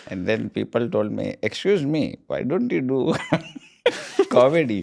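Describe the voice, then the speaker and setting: A man is speaking. He talks with an Indian accent. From Texas, US. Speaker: comedian. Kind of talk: comedic podcast chat. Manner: hesitant with many filler uhs.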